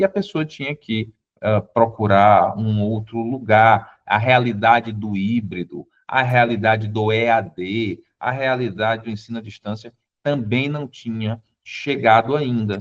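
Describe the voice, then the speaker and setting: This man's voice sits at a medium pitch and moves at a fairly slow pace. His intonation stays fairly even. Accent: Piauí. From Brazil, southern Piauí (Teresina). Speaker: constitutional lawyer. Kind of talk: interview conversation.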